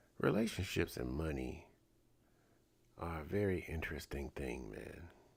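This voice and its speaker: A man with a very deep, low pitch speaks at a moderate pace in a relaxed tone, his lively intonation edged with vocal fry, on a very clean recording with a silent background. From St. Louis, US Midwest. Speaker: live streamer, pop culture commentator. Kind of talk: casual live-stream monologue. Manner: relaxed, conversational.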